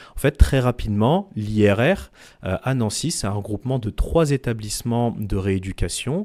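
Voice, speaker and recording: In a very clean recording with a silent background, a man speaks at a fairly slow pace. His tone is dark and mellow, and his intonation lively. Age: 30s. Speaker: clinical researcher. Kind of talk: interview.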